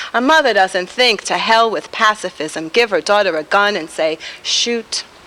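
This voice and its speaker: Lively in intonation, a woman talks at a moderate pace in a medium pitch against noticeable background noise. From New York, the Bronx. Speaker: poet. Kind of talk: poetry reading. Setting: taped TV show at a bar venue.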